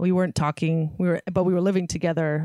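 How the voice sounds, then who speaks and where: In a West Coast US accent, a woman speaks fairly quickly with a fairly low pitch and fairly even intonation, the sound dry and close with no echo. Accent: General American, West Coast. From San Francisco Bay Area. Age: 30s. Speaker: stand-up comedian. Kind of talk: casual chat. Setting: video call.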